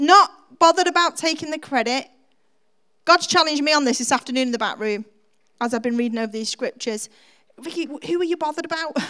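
This woman speaks very fast in a raised, projected voice, her high pitch and bright, sharp tone carried by lively intonation and broken by long, frequent pauses. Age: 40s. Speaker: preacher. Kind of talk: sermon. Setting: church.

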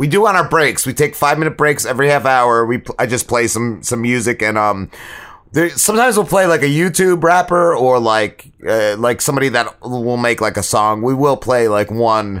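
A man speaks in a normal speaking voice at a medium pitch. His intonation is lively while his loudness stays very even. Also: moderate pace. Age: 40s. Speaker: podcast co-host. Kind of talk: casual chat.

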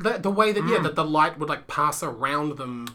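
The speech runs at a moderate pace with noticeable background noise. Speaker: podcast co-host. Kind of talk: casual, conversational. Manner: sounds sarcastic, dry.

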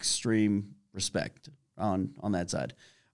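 Fairly low, fairly even male speech in a plain, everyday voice, on a very clean recording with a silent background. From US, Washington DC area (Fairfax, Virginia). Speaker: mortgage broker co-owner. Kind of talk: casual interview.

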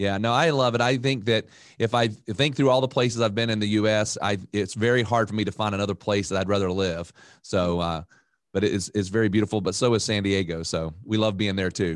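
An unremarkable speaking voice: a man with an American accent, fairly low in pitch, at a fairly quick pace with ordinary pitch variation. His loudness is very even, and the background is quiet. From North Carolina (Raleigh). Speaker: financial advisor. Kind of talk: casual interview.

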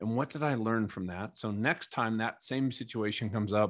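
Against a quiet background, a man with an American accent talks at a fairly quick pace. His pitch is medium. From Minnesota. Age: 50s. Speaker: keynote speaker and former Navy fighter pilot. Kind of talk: interview testimony.

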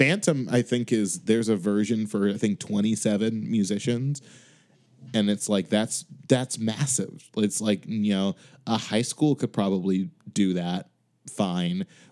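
An ordinary speaking voice from a man with an American accent, fairly low in pitch, with ordinary pitch variation and a fairly slow pace. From Chicago. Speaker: music director. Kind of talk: casual chat.

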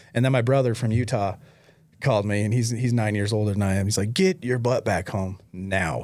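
A man with an ordinary speaking voice talks fairly quickly at a fairly low pitch with ordinary pitch variation. The recording is very clean, with a silent background. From Michigan. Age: 40s. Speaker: recovering addict, nonprofit founder. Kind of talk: testimony.

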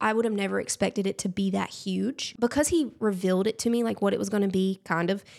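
In a very clean recording with a silent background, a woman talks very fast with a Southern US accent. Her pitch is medium, with ordinary pitch variation and very even loudness. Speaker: influencer. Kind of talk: casual chat.

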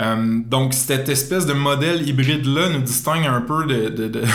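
The speech comes at a fairly slow pace with ordinary pitch variation. Noticeable background noise and audible room echo are present. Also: man. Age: 20s. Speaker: entrepreneur. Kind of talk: interview. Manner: hesitant, many fillers.

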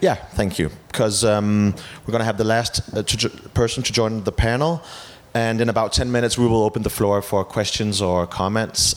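Fairly quick and fairly low-pitched, a man speaks with a Danish accent and ordinary pitch variation. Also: very even loudness. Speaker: TV host and journalist. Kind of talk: event moderation. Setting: stage with audience. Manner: animated.

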